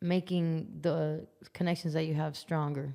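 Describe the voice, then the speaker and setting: With an American accent, a woman speaks at a moderate pace and with ordinary pitch variation. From Las Vegas, US. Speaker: musician. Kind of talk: podcast interview. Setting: studio.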